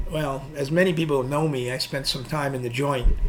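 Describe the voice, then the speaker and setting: With a New York accent, a man speaks at a moderate pace and a fairly high pitch. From New York City, Queens. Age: 60s. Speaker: nightlife designer and club operator. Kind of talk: casual interview chat. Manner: halting, repetitive.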